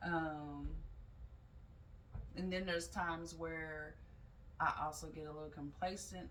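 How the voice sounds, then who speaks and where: A woman's voice carries audible room echo. Noticeable background noise sits behind her. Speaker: yoga teacher and mental health vlogger. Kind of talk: casual vlog talk.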